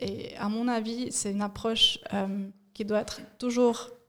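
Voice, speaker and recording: A woman's voice at a medium pitch. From Switzerland, Fribourg (bilingual). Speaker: communication and organisation consultant. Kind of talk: casual interview. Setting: studio at coworking space.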